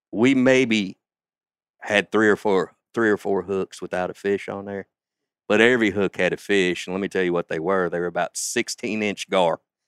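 Here a man speaks with a Southern US accent and a fairly low pitch. The recording is very clean, with a silent background. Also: fairly even intonation, moderate pace. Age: 50s. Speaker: father and outdoorsman. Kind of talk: casual chat.

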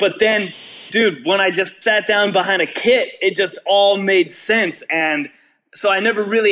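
A man speaks in a raised, projected voice with a Californian accent. His pitch is high, his tone bright and sharp, and his pace fairly slow. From California Bay Area. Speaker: rock drummer. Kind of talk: interview. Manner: laid-back.

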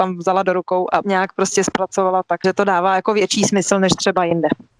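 The recording has a dry, close sound with no echo. An unremarkable speaking voice moves at a fairly quick pace. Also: woman. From Czech Republic. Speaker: lawyer and author. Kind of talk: interview.

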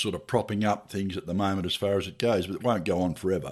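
In an Australian accent, a man speaks at a very fast pace with monotone, flat intonation. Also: very clean recording, silent background. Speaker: truck driver and podcast co-host. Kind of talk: casual interview chat.

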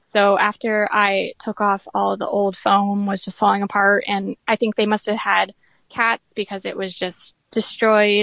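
Speaking with an American accent in a monotone, flat intonation, the voice has a dry, close sound with no echo against a quiet background. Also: woman, medium pitch for a woman, fairly slow pace. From Florida. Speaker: furniture refinisher. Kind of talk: casual interview.

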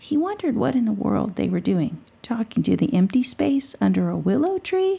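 Reading aloud, plain

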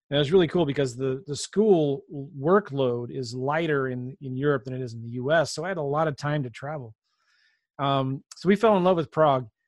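A man with an unremarkable speaking voice talks at a fairly quick pace and a fairly high pitch, with ordinary pitch variation. His loudness swings a lot, and the background is quiet. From Southern California, moved a lot. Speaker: real estate investor and podcaster. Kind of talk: interview conversation.

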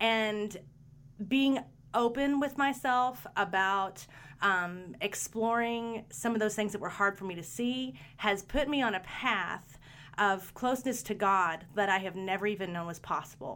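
With a plain, everyday voice, a woman speaks fairly slowly at a medium pitch, her intonation lively. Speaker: guest's wife. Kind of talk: interview conversation. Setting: video call.

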